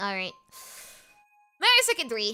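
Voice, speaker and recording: Music plays behind a woman speaking with an American accent. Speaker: vtuber streamer. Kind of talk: casual gaming livestream chat. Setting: livestream. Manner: hesitant, many fillers.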